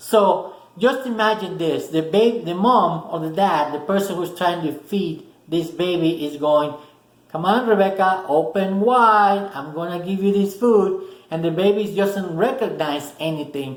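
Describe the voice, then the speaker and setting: Speaking with a Spanish accent, a man uses a high pitch and ordinary pitch variation at a fairly slow pace. Audible room echo is present. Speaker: motivational video host. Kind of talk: motivational talk to camera. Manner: casual, with many fillers and restarts.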